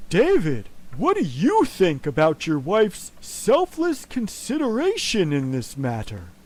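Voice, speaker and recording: Someone puts on a character voice with a middle pitch. The pace is fairly slow. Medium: comedy sketch. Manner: measured, soothing.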